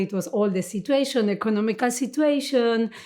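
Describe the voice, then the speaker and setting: A woman's voice in a Spanish accent, with ordinary pitch variation, on a very clean recording over a silent background. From Argentina, Buenos Aires. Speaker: dancer. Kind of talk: interview. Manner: halting.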